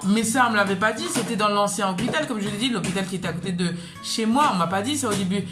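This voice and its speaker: There is music in the background while a woman talks in a medium pitch. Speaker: mother, vlogger. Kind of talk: casual talk to camera.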